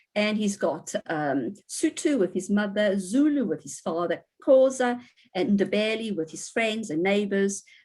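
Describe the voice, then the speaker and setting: This woman's voice sits at a medium pitch and moves with lively intonation. She speaks at a fairly slow pace. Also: big swings in loudness. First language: Portuguese. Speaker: university professor giving a guest lecture. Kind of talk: lecture. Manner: hesitant with frequent fillers.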